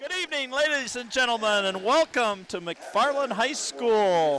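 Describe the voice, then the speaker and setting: Over noticeable background noise, a man with an extremely high pitch talks at a fairly slow pace with lively intonation. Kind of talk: live sports play-by-play commentary. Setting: gym, high school basketball game broadcast.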